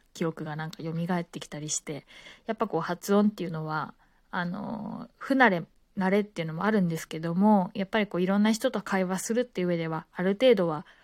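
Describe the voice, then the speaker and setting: A woman with a normal speaking voice talks fairly quickly at a medium pitch with ordinary pitch variation, on a very clean recording with a silent background. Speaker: podcaster, former flight attendant. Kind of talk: casual monologue. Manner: relaxed, many filler words.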